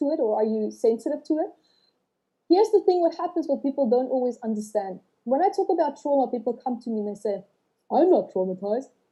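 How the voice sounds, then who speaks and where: A woman with a non-native accent talks at a very fast pace and high pitch, her voice making very wide pitch swings. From South Africa and Australia. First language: not English. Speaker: author and trauma healing teacher. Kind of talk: podcast interview. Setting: livestream.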